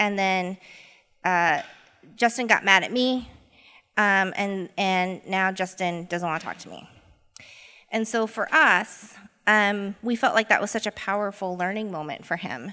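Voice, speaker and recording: Speaking fairly slowly with an American accent, a woman has a medium-pitched, bright, sharp voice with ordinary pitch variation, recorded very cleanly against a silent background. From Boise, Idaho. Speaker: equity coach. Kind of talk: live panel talk. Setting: stage with audience.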